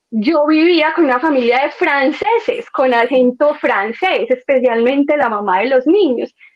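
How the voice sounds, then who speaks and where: This woman speaks with a paisa accent. Her pitch is high, with ordinary variation. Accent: paisa Medellín. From Colombia, Medellín (paisa). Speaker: former au pair. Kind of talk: podcast interview.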